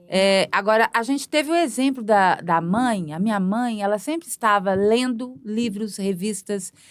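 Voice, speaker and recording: A woman speaks at a fairly slow pace with lively intonation. She takes hardly any pauses. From Brazil, Belo Horizonte (Minas Gerais). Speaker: multimedia artist and performer. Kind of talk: podcast interview. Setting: studio. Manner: halting.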